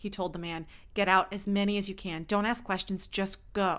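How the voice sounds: Someone reads in a natural voice. The intonation varies only a little.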